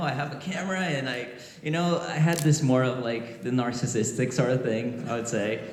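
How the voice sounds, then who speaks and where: The intonation is lively, at a moderate pace. Room echo is audible, with noticeable background noise. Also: man. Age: 30s. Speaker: guitarist. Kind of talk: panel talk at a trade show. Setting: stage with audience.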